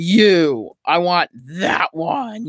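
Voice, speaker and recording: This is a put-on character voice. Its pitch sits in the middle. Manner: spooky, scary.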